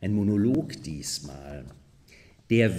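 The man's pitch swings very widely as he speaks. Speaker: actor, reader. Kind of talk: narration. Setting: theater with live audience.

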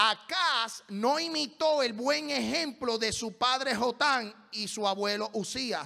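Against a quiet background, a man speaks in a raised, projected voice at an extremely high pitch. His tone is bright and sharp, and his intonation is lively. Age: 40s. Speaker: pastor. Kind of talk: sermon. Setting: church. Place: church. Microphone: handheld.

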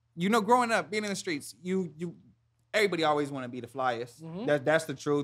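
A man with an American accent talks at a very fast pace, his intonation lively and his loudness swinging widely. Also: fairly high pitch for a man. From San Diego, California (born Houston, Texas). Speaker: clothing brand founder and designer. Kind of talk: casual interview.

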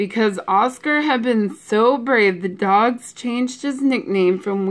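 The pitch moves in an ordinary way. It is a natural reading voice.

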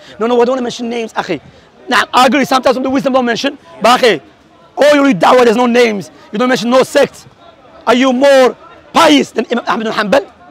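An extremely high-pitched man's voice at a very fast pace, with ordinary pitch variation and a dry sound with no echo. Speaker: Salafi preacher debating. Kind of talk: heated religious debate. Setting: outdoors public debate. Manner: emphatic, combative, rapid-fire. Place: open country. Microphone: lapel.

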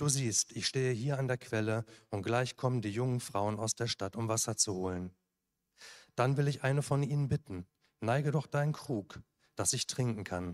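The background stays quiet. This man's pace is moderate, and his pitch varies in an ordinary way. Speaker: scripture reader. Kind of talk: reading aloud. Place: church. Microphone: handheld.

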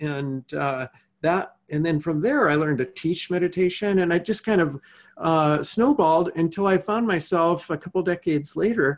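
A man talks at a moderate pace in a high voice for a man. His pitch varies in an ordinary way. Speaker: podcast guest, meditation teacher. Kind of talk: interview answer. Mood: calm, reflective storytelling. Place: home room. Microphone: earbuds.

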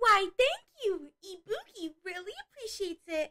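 A woman puts on a squeaky character voice at an extremely high pitch, with a bubbly tone. She keeps a moderate pace. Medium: audio drama. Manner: speaks of herself in third person, bubbly.

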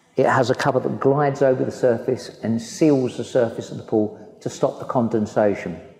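Heard with audible room echo, a man talks at a moderate pace with ordinary pitch variation. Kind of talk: guided tour explanation. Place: hall.

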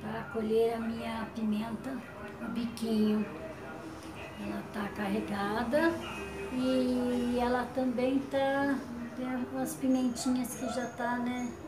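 A woman's very slow speech full of long, frequent pauses, with music in the background. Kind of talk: casual vlog chat. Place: home room. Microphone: phone near.

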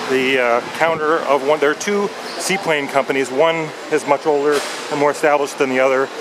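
Noticeable background noise behind a man talking at a fairly quick pace, with fairly even intonation. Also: dry sound with no echo. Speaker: travel guide vlogger. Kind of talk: tutorial. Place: station. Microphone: phone near.

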